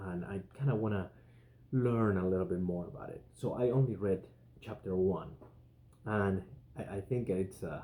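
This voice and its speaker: A dark, mellow tone comes at a moderate pace with ordinary pitch variation. Long pauses come often. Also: man, fairly low pitch for a man. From Spain. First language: Spanish. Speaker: podcast host. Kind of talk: casual monologue.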